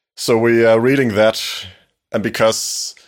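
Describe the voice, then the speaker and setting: A man speaks with a Danish accent. The recording is very clean, with a silent background. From Denmark. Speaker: podcast host. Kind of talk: scripted narration; casual chat.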